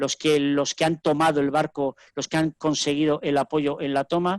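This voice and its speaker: A man speaks with fairly high pitch at a moderate pace. The sound is dry and close with no echo, over a quiet background. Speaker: rowing coach. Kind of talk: lecture. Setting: webinar video call.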